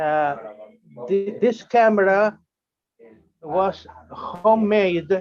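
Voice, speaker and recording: Speaking at a very slow pace, a man with a Uruguayan accent has a high pitch and ordinary pitch variation. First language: Spanish. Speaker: amateur radio operator. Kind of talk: online meeting presentation. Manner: halting, many fillers.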